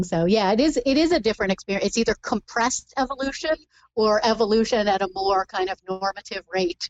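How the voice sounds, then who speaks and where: This is a plain, everyday voice moving at a fairly quick pace with ordinary pitch variation. The sound is dry and close, with no echo. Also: woman. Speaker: author. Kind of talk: casual interview.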